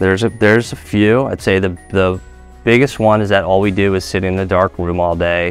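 With faint music in the background, a man with a very deep, low pitch speaks at a moderate pace and ordinary pitch variation in a dry sound without echo. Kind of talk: interview answer. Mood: relaxed, friendly. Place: office. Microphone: lapel.

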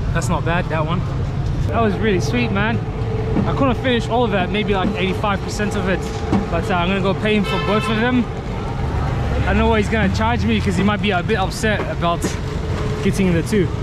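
A man's voice, dry with no echo, competes with loud background noise. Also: fairly quick pace. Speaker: travel vlogger. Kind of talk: casual vlog chat. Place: street. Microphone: phone near.

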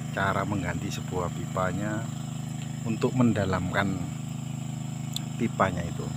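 Over loud background noise, a man talks at a fairly slow pace with ordinary pitch variation, the sound dry with no echo. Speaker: field vlogger. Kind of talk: casual vlog chat. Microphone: phone near.

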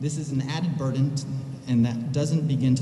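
A man speaks with fairly even intonation. There is light background noise and audible room echo. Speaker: parent giving public comment. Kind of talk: public comment statement. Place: hall. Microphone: podium.

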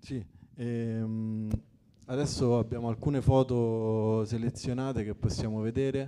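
At a very slow pace, a man speaks at medium pitch in a monotone, flat way. His tone is dark and mellow. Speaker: event moderator. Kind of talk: moderating a book presentation. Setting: coworking space with audience. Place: hall. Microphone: handheld.

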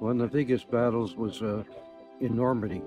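Clear music plays in the background as someone with a Canadian accent speaks fairly slowly with ordinary pitch variation, the sound dry with no echo. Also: man. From Canada. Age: 80s+. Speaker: war veteran. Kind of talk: interview. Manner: halting. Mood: reflective, warm. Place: open country.

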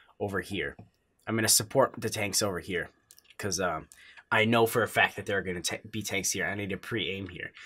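A man speaks with a bright, sharp tone. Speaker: gaming tutorial creator. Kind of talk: tutorial. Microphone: headset.

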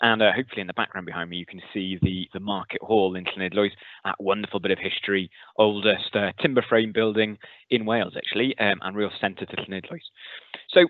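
A man with a normal speaking voice, fairly low in pitch, with fairly even intonation and a fairly quick pace, dry with no echo against a quiet background. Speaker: school teacher. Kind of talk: lecture. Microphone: headset.

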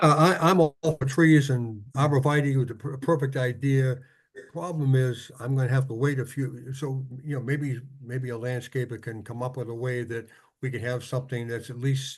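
A man speaks in a somewhat breathy voice with fairly even intonation. His loudness swings widely. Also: medium pitch for a man, moderate pace. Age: 80s+. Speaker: zoning board member. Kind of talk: public meeting discussion. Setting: video call.

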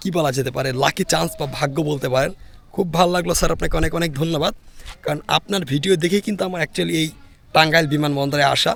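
A man talks at a fairly high pitch with vocal fry. His pitch variation is ordinary. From Bangladesh, Naogaon. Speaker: travel vlogger. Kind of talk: vlog narration and street chat. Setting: outdoors. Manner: animated.

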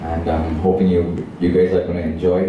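Audible room echo and light background noise surround a man speaking at a fairly quick pace. His pitch is very deep and low. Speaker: panelist. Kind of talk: press conference answer. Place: hall.

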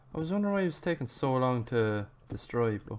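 A man speaks at a medium pitch. His voice swings very widely up and down. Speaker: gaming YouTuber. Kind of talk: casual gaming commentary. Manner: animated, swearing, joking.

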